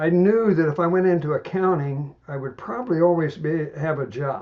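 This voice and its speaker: A man with an American accent and ordinary pitch variation. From US Midwest, Indiana. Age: 80s+. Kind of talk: podcast interview.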